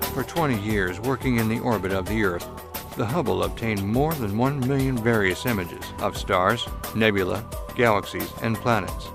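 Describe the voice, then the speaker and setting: Music plays in the background as a man speaks at a moderate pace. His pitch is medium and varies in an ordinary way. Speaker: voice-over narrator. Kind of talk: documentary narration.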